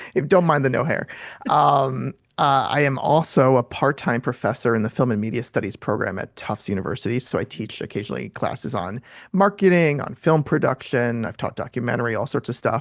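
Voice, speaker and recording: An American man talks fairly quickly in a medium pitch with vocal fry. His intonation is lively against a quiet background. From New York City. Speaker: filmmaker and author. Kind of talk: interview. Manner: fast.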